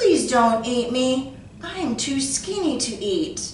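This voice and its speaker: A woman does a put-on character voice, high-pitched and very slow, with a slight echo. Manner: begging.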